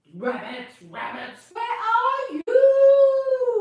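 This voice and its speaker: In a put-on character voice with extremely high pitch, the speaker is heard with a slight echo. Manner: howling.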